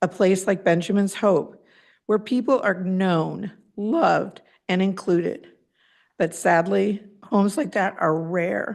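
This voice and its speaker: With vocal fry in her medium-pitched voice, a woman speaks at a fairly slow pace with ordinary pitch variation over a quiet background. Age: 60s. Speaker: parent speaking at public comment. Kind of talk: prepared public comment. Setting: public board meeting.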